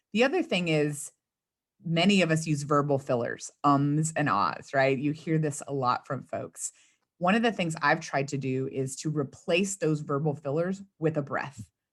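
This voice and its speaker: Against a quiet background, a woman talks with an American accent. Her pitch is very deep and low, with ordinary variation. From US South, South Texas (Rio Grande Valley). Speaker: communications consultant and speechwriter. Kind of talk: interview. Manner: fast.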